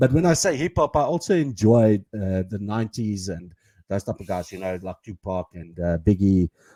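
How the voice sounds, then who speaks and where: A man with a South African accent, fairly low in pitch, dark and mellow in tone, lively in intonation and moderate in pace, on a very clean, dry, close recording with a silent background and no echo. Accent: Afrikaans South African. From South Africa, Pretoria. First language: Afrikaans. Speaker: podcast co-host. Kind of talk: casual chat. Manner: halting, many fillers.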